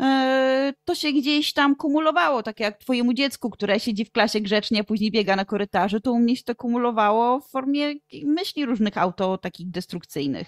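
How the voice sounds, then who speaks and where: A woman with an ordinary speaking voice talks at a fairly quick pace in a fairly high pitch, her intonation lively. Her loudness swings widely, and the sound is dry and close with no echo. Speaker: Polish teacher and educational content creator. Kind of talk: interview conversation.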